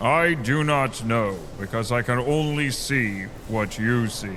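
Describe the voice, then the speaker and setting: A man puts on a character voice at a medium pitch, speaking at a fairly slow pace over clear background noise. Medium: audio drama. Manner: deadpan, literal, formal without contractions.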